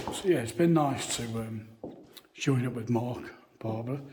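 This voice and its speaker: A man's medium-pitched, somewhat breathy voice at a fairly slow pace, with audible room echo. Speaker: paranormal video presenter. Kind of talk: walking tour vlog to camera. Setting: church grounds. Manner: halting, with fillers.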